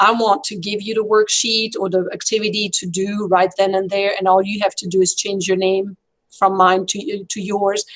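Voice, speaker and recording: Hardly pausing, a woman with a French accent speaks at medium pitch and a moderate pace in a monotone, flat intonation. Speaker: French teacher. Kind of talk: casual chat. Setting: video call.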